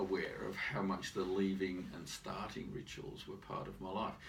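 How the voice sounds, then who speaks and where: A man speaks at a fairly low pitch. There is audible room echo. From Britain and Ireland, moved often. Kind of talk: interview.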